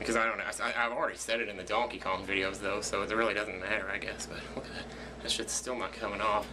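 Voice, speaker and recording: A man speaks very fast in a fairly low, flat monotone. Room echo is audible and background noise is noticeable. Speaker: video blogger / let's player. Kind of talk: casual vlog monologue. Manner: quiet, not loud.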